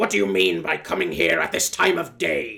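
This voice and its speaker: In a put-on character voice, a man growls in a gruff tone at a very deep, low pitch. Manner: gruff, growling.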